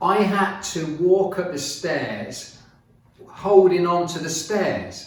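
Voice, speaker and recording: Noticeable background noise and audible room echo fill the clip. A man speaks with a high pitch. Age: 70s. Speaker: fitness and business motivational video maker. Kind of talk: casual talk to camera. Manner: hesitant, with many fillers.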